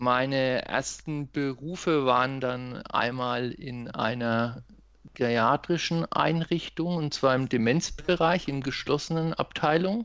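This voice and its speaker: A man speaking very slowly, with ordinary pitch variation. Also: medium pitch for a man. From Germany, Lower Franconia (Schweinfurt). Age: 30s. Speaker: occupational therapist. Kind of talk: podcast interview.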